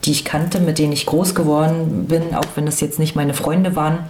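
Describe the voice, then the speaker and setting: Against noticeable background noise and audible room echo, a woman speaks at a very deep, low pitch. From Rostock, eastern Germany. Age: 40s. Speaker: former activist. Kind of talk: interview testimony.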